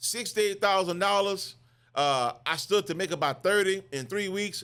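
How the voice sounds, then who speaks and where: In a very clean recording with a silent background, a man with a high pitch speaks in a bright, sharp, animated tone with ordinary pitch variation. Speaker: business owner. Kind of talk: motivational business talk. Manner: fast.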